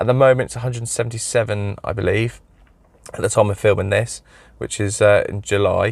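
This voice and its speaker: A man with an English accent delivers his words fairly quickly. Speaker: car mechanic YouTuber. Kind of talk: product review. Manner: casual, hesitant with many fillers.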